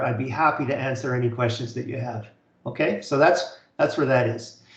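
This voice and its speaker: Fairly quick speech in a Canadian accent. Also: man. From Canada. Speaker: college instructor. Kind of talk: online lecture. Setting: video call webinar. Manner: fast; halting, many fillers and repeats.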